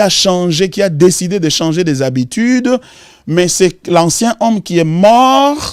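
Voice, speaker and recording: A man speaks very slowly in a Congolese accent. His voice is high-pitched. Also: dry, close sound with no echo. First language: Lingala (speaking French). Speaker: pastor. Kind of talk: Bible study teaching.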